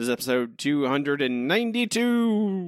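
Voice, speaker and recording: A man performs a put-on character voice with very wide pitch swings. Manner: dramatic, theatrical.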